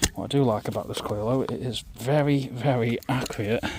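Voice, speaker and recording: At a fairly quick pace and medium pitch, a man speaks with fairly even intonation over noticeable background noise. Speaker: metal detecting youtuber. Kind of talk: casual outdoor vlog commentary. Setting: outdoors in a field. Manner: quiet, half-whispered.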